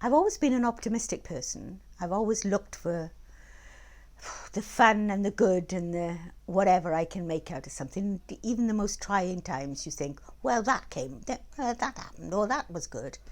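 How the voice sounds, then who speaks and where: Over a very clean recording with a silent background, a woman speaks with lively intonation and vocal fry. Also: medium pitch for a woman, moderate pace. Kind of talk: interview answer.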